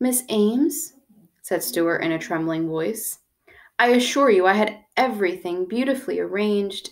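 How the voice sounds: Here is a natural reading voice with lively intonation. The background is quiet.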